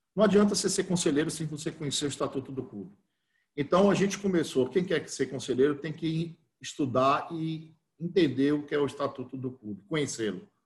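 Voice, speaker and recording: A man talks at a fairly quick pace in a somewhat breathy voice. His fairly high pitch has ordinary variation. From Bahia, Brazil (interior, Cruz das Almas). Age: 50s. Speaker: football club council candidate. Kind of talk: interview. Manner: halting.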